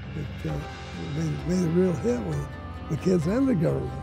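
With clear music in the background and a dry sound with no echo, a man speaks at a moderate pace. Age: old. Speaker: retired Air Force pilot, war veteran. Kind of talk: interview answer. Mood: fond, grateful recollection. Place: garden.

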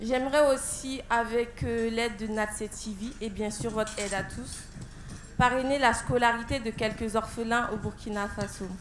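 A woman's fairly high-pitched voice with fairly even intonation. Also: moderate pace.

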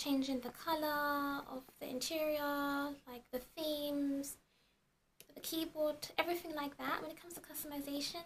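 A soft-spoken woman talks at a high pitch and a moderate pace. Her intonation is monotone and flat, with light background noise. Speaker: beauty and tech vlogger. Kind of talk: casual product review to camera. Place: home room. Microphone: camera far.

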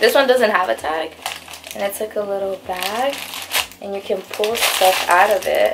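A woman speaks at a moderate pace with long, frequent pauses, over loud background noise. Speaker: vlogger. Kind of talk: casual vlog chat. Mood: cheerful, excited. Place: home room. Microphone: phone near.

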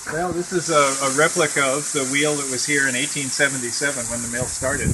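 A man's voice with ordinary pitch variation against noticeable background noise. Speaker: mill operator guide. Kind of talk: interview answer. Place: open country. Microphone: phone near.

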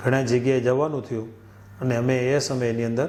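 With monotone, flat intonation, a man speaks amid audible room echo. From Kutch, Gujarat (Ratnal village). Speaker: former volunteer activist. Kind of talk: testimony.

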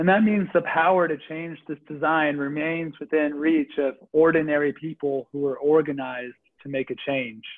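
Here is a man with a plain, everyday voice, pitched fairly high. He talks at a moderate pace with fairly even intonation and hardly any pauses. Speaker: faith leader. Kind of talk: reflective talk. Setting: video call. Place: home room. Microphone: video call.

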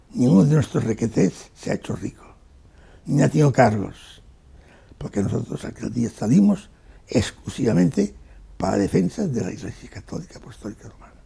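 At a moderate pace, a man speaks in a dark, mellow, somewhat breathy tone with lively intonation. His loudness swings widely. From Spain, Barcelona; Catalonia, Spain. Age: 80s+. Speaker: war veteran. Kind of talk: interview testimony. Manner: halting, frequent repetitions. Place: home room.

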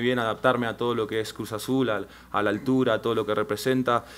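A man with a Rioplatense accent, fairly quick and monotone, his intonation flat. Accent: Argentine Rioplatense Spanish. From Argentina, Rosario; Argentina. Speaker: professional footballer. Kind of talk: press conference. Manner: halting, frequent fillers and repetitions. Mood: calm, hopeful. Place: meeting room. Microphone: podium.

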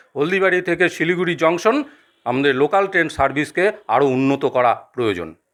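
With a quiet background and very even loudness, this is an unremarkable speaking voice with ordinary pitch variation. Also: man, fairly high pitch for a man. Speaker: local resident interviewee. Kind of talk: interview comments.

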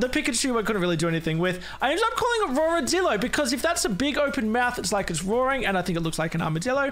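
A man talking at a very fast pace with very wide pitch swings over noticeable background noise. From Australia. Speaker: gaming YouTuber. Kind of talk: casual video commentary.

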